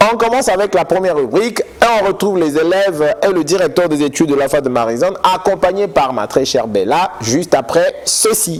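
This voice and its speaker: Loud and high in pitch, a man speaks with hardly any pauses over noticeable background noise. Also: lively intonation, fairly quick pace. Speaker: TV education magazine host. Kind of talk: TV magazine presenting and interview.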